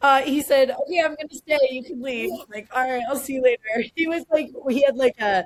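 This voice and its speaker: Her pitch is high and her pace fairly quick. This woman's loudness swings a lot from moment to moment. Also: ordinary pitch variation, dry, close sound with no echo. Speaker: cannabis professor and entrepreneur. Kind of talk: casual podcast interview. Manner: fast.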